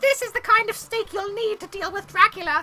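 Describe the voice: A female-sounding, put-on character voice pipes up at an extremely high pitch. The pace is fairly quick.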